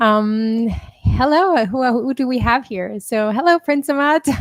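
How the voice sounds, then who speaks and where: Recorded with a dry, close sound and no echo, a woman talks. Her intonation is lively. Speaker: pianist and composer streaming to supporters. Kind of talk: casual live stream chat. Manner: halting, many fillers. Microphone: new audio interface.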